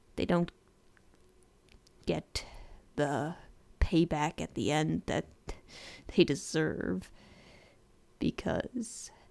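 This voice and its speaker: Whispering woman at a very slow pace, with long, frequent pauses. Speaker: animator and vlogger. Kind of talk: video diary talk from notes. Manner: quiet.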